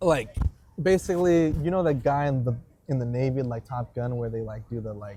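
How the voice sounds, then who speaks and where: A man with an American accent speaks at a fairly quick pace. His tone is dark and mellow, with ordinary pitch variation. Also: medium pitch for a man. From San Diego, California. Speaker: Air Force veteran. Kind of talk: casual chat. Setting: outdoors in a park. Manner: casual, filler-heavy.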